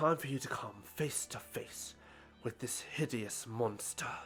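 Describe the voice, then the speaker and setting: Doing a put-on character voice at a medium pitch, a man speaks at a fairly slow pace over clear music in the background. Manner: vampiric.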